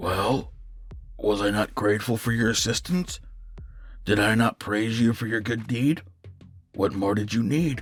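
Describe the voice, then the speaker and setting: In a raspy, put-on character voice, the speaker keeps a moderate pace broken by long, frequent pauses. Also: man, medium pitch for a man. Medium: read story. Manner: courteous, measured, faintly condescending.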